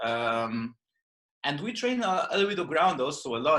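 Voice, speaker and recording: A man with a Brazilian accent, a bright, sharp tone and a moderate pace. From northern Brazil, Belém. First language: Portuguese. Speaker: yoga and jiu-jitsu teacher. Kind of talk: podcast interview. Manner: halting.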